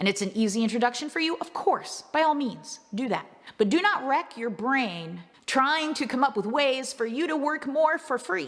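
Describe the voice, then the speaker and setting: A woman's high voice with very wide pitch swings at a moderate pace, against noticeable background noise. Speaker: business coach. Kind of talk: motivational business talk. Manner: casual, animated.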